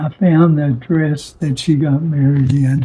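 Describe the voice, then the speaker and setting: Very slowly and somewhat breathily, a man speaks at a fairly high pitch with fairly even intonation. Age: 80s+. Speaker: war veteran. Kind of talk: interview answer.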